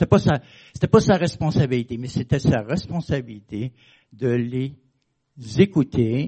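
With a Quebec accent, a man talks using lively intonation. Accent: Québécois French. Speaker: preacher. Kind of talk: sermon. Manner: conversational, hesitant with fillers.

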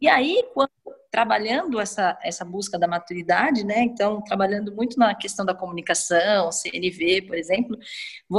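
Somewhat breathy, a woman talks at a moderate pace in a fairly high pitch with lively intonation. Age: 30s. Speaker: podcast guest. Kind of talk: casual chat.

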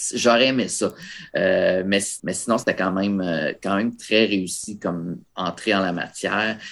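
The recording is very clean with a silent background as a man talks in a plain, everyday voice, fairly low in pitch, at a fairly slow pace with fairly even intonation. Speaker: horror film critic and podcaster. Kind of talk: casual chat.

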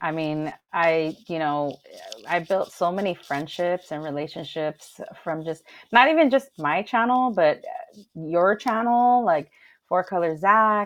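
With a Southern California accent, a woman speaks at a fairly slow pace, her fairly low pitch carried by lively intonation. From Los Angeles, San Gabriel Valley (Alhambra). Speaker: DJ. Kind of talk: casual chat. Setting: livestream.

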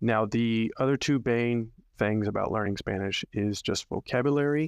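With ordinary pitch variation, the voice comes through a very clean recording on a silent background, dry and close with no echo. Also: man. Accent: American. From Arkansas. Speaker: podcast host, Spanish language mentor. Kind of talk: solo podcast monologue, tutorial. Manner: casual, with frequent fillers.

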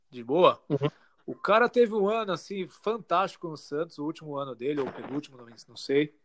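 Swinging widely in loudness, a man with a high voice speaks at a fairly quick pace with lively intonation. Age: 20s. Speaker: football podcast co-host. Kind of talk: casual chat. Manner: animated.

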